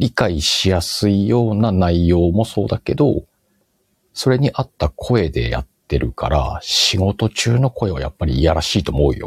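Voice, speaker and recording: With a very deep, low pitch and vocal fry, a man speaks at a moderate pace with very wide pitch swings, in a dry, close sound with no echo. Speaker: podcast host. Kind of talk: casual chat. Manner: speeds up when excited.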